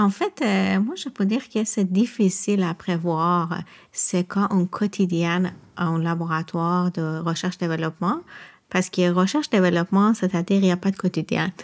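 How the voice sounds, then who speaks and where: Moderate pace and fairly even intonation in a very clean recording with a silent background. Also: woman, medium pitch for a woman. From Iran. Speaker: research and quality lab employee. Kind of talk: podcast interview. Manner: halting.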